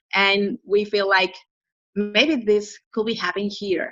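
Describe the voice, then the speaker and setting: Fairly even intonation in a Spanish accent at a moderate pace, with dry, close sound and no echo. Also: woman. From northern Mexico, Piedras Negras. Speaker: ministry regional center worker. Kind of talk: interview.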